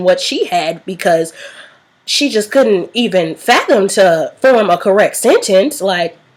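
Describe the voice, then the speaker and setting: A woman speaks in a medium pitch with an animated tone at a moderate pace. Background noise is noticeable. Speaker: vlogger. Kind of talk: storytime vlog.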